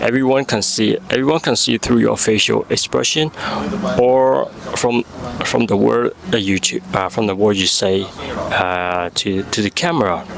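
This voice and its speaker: Noticeable background noise runs under speech at a moderate pace, with lively intonation and very even loudness. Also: man, fairly low pitch for a man. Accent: Burmese. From Myanmar. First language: Burmese. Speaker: vlogger. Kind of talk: vlog monologue. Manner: halting.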